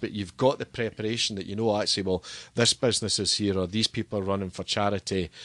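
A man with a Scottish accent, fairly low-pitched and fairly quick, with ordinary pitch variation, a dry, close sound with no echo and a quiet background. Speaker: stadium PA announcer and entertainment business owner. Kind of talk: casual interview. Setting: studio.

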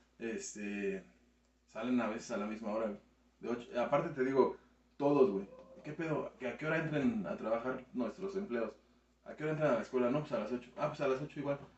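Noticeable background noise sits behind a man speaking at a fairly quick pace. His intonation is lively, broken by long, frequent pauses. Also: medium pitch for a man. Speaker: youtuber. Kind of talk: casual chat.

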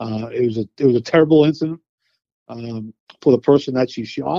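At a fairly quick pace, a man with an unremarkable speaking voice speaks at a medium pitch with ordinary pitch variation. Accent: American. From Boston, Massachusetts. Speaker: use-of-force consultant, retired police. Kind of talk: interview conversation.

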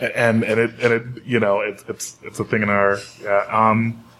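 This man talks with an American accent at a moderate pace and a fairly low pitch. His intonation stays fairly even, and noticeable background noise runs underneath. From North Carolina. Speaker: panelist. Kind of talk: panel discussion. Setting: studio with live audience.

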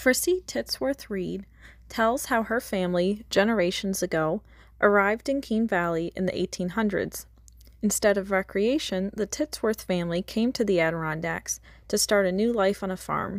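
In a very clean recording with a silent background, a woman with an American accent uses an ordinary speaking voice at medium pitch, speaking at a moderate pace with ordinary pitch variation. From New York State. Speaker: podcast host and graduate intern. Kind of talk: scripted narration.

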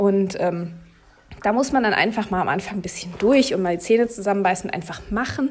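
A woman is speaking. Her pace is moderate. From Berlin, Germany. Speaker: cattle veterinarian and podcast host. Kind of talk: casual monologue. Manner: hesitant with many fillers.

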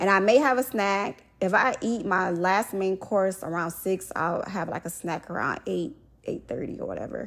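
An ordinary speaking voice belongs to this woman, medium in pitch with ordinary pitch variation, moving at a moderate pace with hardly any pauses on a very clean recording with a silent background. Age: 30s. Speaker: faith podcast host. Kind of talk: prayer; casual devotional talk.

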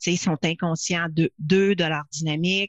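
Over a quiet background with a dry, close sound and no echo, a woman with an unremarkable speaking voice talks at a moderate pace, her pitch fairly low with ordinary variation. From Quebec. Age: 50s. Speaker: leadership consultant and speaker. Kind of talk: interview.

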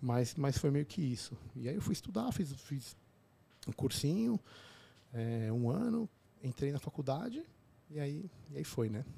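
A somewhat breathy, fairly high male voice, fairly slow, with very wide pitch swings and long, frequent pauses. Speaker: obstetrician and podcaster. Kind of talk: casual interview chat.

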